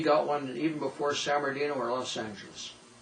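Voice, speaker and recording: With an American accent, a man talks at a moderate pace against noticeable background noise. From Southern California (High Desert). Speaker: local old-timer interviewee. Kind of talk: oral history interview.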